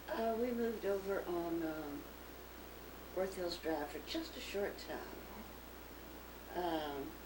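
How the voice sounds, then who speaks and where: A very slow, medium-pitched woman's voice in a Texan accent, with lively intonation and noticeable background noise. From Dallas, Texas. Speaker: businesswoman. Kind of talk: interview answer.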